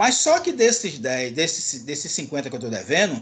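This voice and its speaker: Talking at a fairly quick clip, a man uses a high pitch with very wide swings up and down. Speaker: university lecturer. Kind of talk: lecture. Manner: fast.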